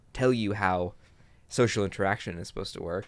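A man has a plain, everyday voice, pitched fairly low with ordinary pitch variation. The recording is very clean, with a silent background. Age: young. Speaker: podcast co-host, tabletop gamer. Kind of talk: casual chat.

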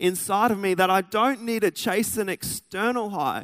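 With an Australian accent, a man speaks at a high pitch, recorded with a dry, close sound and no echo. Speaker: pastor. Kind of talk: sermon. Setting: church.

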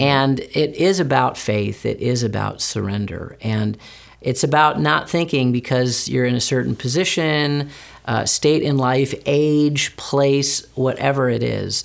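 A man with a normal speaking voice talks fairly slowly at a medium pitch. The recording is very clean with a silent background, and his pitch varies in an ordinary way. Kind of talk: casual interview conversation.

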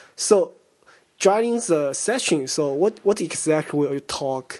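The speaker has a Chinese accent. The pace is fairly slow. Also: man. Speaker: conference interviewer. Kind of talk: interview. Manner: halting, repetitive.

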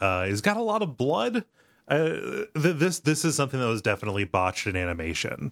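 A man speaks at a fairly quick pace with very wide pitch swings. The recording is very clean, and the background is silent. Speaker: podcast host.

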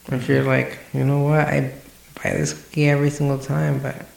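Noticeable background noise sits behind a man who talks fairly quickly. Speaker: podcast co-host. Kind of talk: casual chat.

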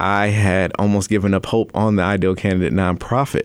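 A man with an American accent and an unremarkable speaking voice, fairly low in pitch and at a fairly quick pace. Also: very clean recording, silent background. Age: 30s. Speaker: nonprofit founder and author. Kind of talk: radio interview. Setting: radio studio.

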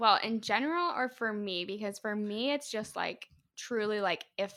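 Recorded very cleanly with a silent background, a woman with a Midwestern American accent has a bright, sharp tone. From northeast Indiana, US Midwest. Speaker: podcast guest. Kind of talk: casual chat.

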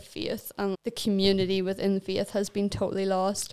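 A woman with a Northern Irish accent speaks at a medium pitch in a monotone, flat intonation. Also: very clean recording, silent background. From Northern Ireland, County Armagh. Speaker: missionary. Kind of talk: casual chat.

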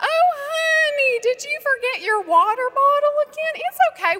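Putting on a character voice, a woman speaks loud, squeaky and sing-song at an extremely high pitch and a moderate pace. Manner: sweetly patient, doting.

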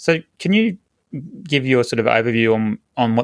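An Australian accent comes from a man speaking at a moderate pace. The sound is dry and close, with no echo. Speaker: health podcast host. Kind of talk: interview.

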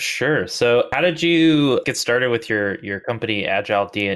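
A man speaks in an unremarkable speaking voice. The background is quiet. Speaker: co-host. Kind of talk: podcast interview. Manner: casual, filler-heavy.

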